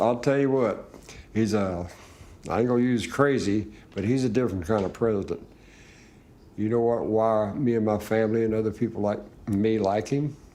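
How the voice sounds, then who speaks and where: A man's fairly low voice with a dark, mellow tone and an American accent, at a moderate pace with ordinary pitch variation and audible room echo. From Kentucky. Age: 70s. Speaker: grieving father. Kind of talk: casual chat. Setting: veterans' club. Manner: halting.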